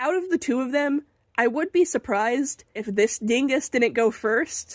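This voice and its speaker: A woman's high pitch with ordinary variation, at a moderate pace, in a dry, close sound with no echo. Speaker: artist painting on video. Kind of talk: casual voiceover narration while painting. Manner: chatty, conversational.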